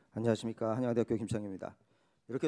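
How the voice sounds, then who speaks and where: The very clean recording has a silent background and a dry, close sound with no echo, carrying a dark, mellow tone. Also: man. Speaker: professor and keynote speaker. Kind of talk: conference keynote lecture. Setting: conference hall with audience. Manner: fast.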